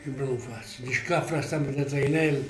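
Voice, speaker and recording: Clear background noise is present throughout. The male speaker keeps an even, middling tempo. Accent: Apulian. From Polignano, Apulia, southern Italy. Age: 80s+. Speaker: former emigrant carpenter. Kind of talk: interview answer.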